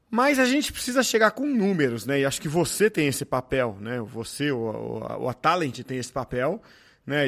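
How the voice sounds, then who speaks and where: Intonation here is lively. It is an ordinary speaking voice. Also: man. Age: 40s. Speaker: podcast host. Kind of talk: interview.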